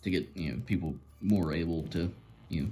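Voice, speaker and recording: A man speaks at a moderate pace with vocal fry. His intonation is lively. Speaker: lock picking instructor. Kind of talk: tutorial. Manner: long pauses, halting.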